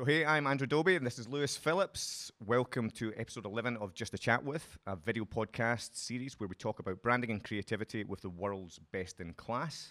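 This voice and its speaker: Hardly pausing, a man with a Scottish accent talks fairly quickly at a medium pitch, his bright, sharp tone and lively intonation captured dry and close with no echo on a very clean recording with a silent background. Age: 30s. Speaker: podcast host. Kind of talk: casual interview. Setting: studio.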